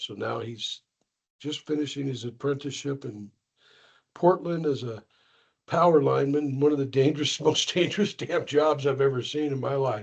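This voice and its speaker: The speech is somewhat breathy, at a moderate pace with ordinary pitch variation. The background is quiet. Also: man, fairly high pitch for a man. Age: 60s. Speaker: school IT director. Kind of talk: casual chat.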